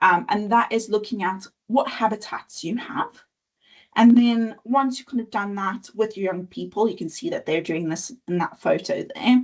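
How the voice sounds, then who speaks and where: At a moderate pace, a woman speaks in a somewhat breathy, fairly high voice with ordinary pitch variation and big swings in loudness. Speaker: nature education presenter. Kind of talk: webinar presentation.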